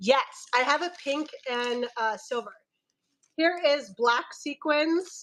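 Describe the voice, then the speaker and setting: A loud, high-pitched woman at a very slow pace, with lively intonation. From Filipino heritage. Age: 30s. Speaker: online fabric seller. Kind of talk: live sales stream. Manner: animated.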